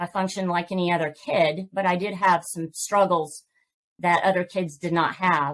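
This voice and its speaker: A woman with a Southern US accent speaks at a medium pitch and a fairly slow pace. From Georgia, US South. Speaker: author and podcast host. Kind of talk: interview testimony.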